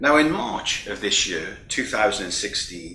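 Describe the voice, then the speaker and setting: A man with a British accent speaks in a fairly high voice. The room adds an audible echo. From United Kingdom. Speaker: keynote speaker, EU vocational training official. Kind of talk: keynote speech. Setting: recorded remotely, not present in person. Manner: formal.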